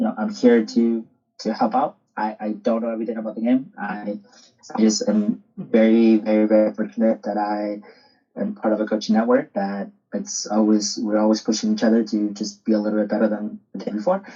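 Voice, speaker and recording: A man with a Spanish accent at a fairly quick pace. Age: 30s. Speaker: soccer coach. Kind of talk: podcast interview.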